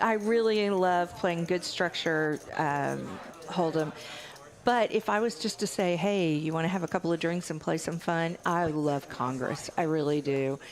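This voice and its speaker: A woman with a Texas accent speaks at a fairly slow pace in a fairly low pitch. Her loudness stays very even, with ordinary pitch variation. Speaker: guest poker commentator. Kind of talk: live commentary. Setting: commentary booth.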